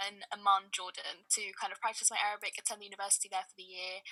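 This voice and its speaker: Her tone bright and sharp, a woman talks at a very fast pace. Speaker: spoken word artist. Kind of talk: podcast interview answer. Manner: energetic.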